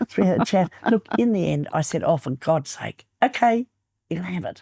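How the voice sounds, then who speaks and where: A woman with a dark, mellow tone and medium pitch speaks at a moderate pace with vocal fry and lively intonation, in a dry, close sound with no echo. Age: 80s+. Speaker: real estate trainer. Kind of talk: interview.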